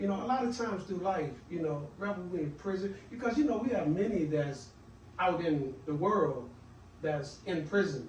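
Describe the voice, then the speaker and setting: Amid noticeable background noise and audible room echo, a man with an American accent speaks in a high pitch with lively intonation. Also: moderate pace. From Washington DC. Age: 60s. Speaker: author and mentor. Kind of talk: podcast interview. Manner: halting, many fillers.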